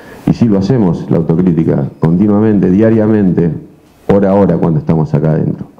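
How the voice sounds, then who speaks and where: Speaking very fast, a man uses lively intonation at a very deep, low pitch. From Argentina. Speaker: football coach. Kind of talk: press conference. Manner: halting. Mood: firm, self-defending. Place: meeting room. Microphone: handheld.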